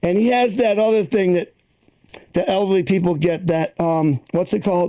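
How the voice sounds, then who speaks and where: Lively intonation marks this man's dark, mellow tone. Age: 60s. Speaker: stand-up comedian. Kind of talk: stand-up. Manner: animated.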